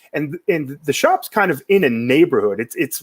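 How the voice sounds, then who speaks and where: At a moderate pace, a man with an American accent speaks on a very clean recording with a silent background. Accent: Boston accent he can turn on and off. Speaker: talk show host, menswear blogger. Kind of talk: casual chat. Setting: live stream.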